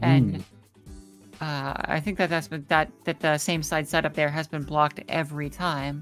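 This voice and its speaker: Fairly quick speech with ordinary pitch variation, music in the background. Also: woman. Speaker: fighting game commentator, former pro player. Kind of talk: esports match commentary.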